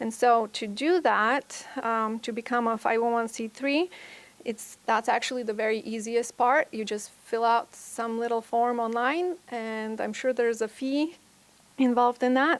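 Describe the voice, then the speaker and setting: Fairly high, fairly even female voice with a non-native accent. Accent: foreign. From Bulgaria. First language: Bulgarian. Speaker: private school administrator. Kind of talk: conference talk.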